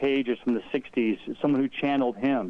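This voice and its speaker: A man at a moderate pace. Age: 60s. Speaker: spiritual guest on fairies. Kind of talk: radio interview. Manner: halting, many repetitions.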